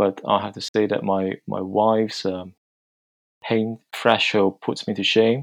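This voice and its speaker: A man's fairly low, flat, monotone voice at a fairly slow pace, with a dry, close sound and no echo. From China. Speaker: guest, NHS consultant and church worship leader. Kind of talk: casual panel discussion. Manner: soft-spoken.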